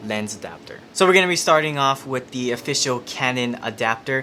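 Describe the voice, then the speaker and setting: Over noticeable background noise, a man with a medium pitch talks at a fairly quick pace with lively intonation. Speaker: camera tutorial YouTuber. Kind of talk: tutorial.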